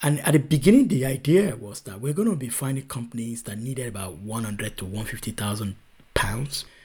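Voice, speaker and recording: A man talks at a fairly quick pace in a medium-pitched, somewhat breathy voice. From Nigeria. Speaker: venture capital investor. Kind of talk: interview conversation.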